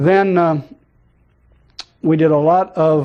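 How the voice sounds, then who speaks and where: Speaking very slowly with an American accent, a man uses a fairly high pitch, fairly even intonation and a dark, mellow tone. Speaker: Vietnam war veteran, former Marine rifleman. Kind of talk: interview answer.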